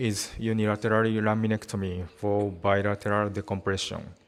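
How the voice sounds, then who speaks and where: A man talks with a Japanese accent. His pitch is fairly low. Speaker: spine surgeon. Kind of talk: conference presentation. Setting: conference hall.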